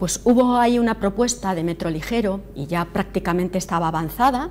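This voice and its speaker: A woman at a fairly quick pace, lively in intonation, over light background noise. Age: young. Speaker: city councillor; local council official. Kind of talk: call-in Q&A on TV. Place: studio. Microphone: lapel.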